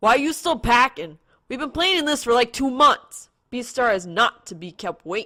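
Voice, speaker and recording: Using a put-on character voice, a female-sounding speaker talks at a moderate pace in a high, raised, projected voice on a very clean recording with a silent background. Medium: read story. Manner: brash, unbothered.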